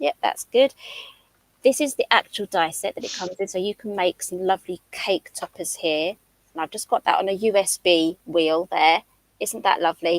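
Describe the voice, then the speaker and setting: This woman speaks with a British accent at a moderate pace and medium pitch, with ordinary pitch variation. The sound is dry and close, without echo. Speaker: craft designer and live demonstrator. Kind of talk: live craft demonstration. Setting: livestream.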